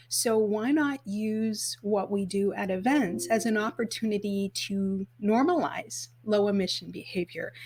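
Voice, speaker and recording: A woman speaks with a Canadian accent at a fairly high pitch. Her voice is somewhat breathy, with ordinary pitch variation. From Canada, northern Alberta. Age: 50s. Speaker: sustainable events expert and event business founder. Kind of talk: podcast interview.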